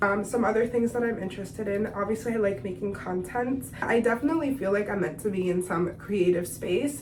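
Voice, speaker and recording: A woman talks at a fairly quick pace and medium pitch, with lively intonation and hardly any pauses. Noticeable background noise and audible room echo fill the recording. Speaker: beauty vlogger. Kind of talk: casual chat. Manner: casual, filler-heavy.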